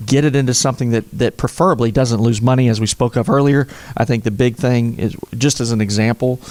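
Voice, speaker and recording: The speaker talks at a very fast pace with an Oklahoma accent, fairly even intonation and very even loudness. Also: man, medium pitch for a man. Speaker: financial advisor. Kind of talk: interview.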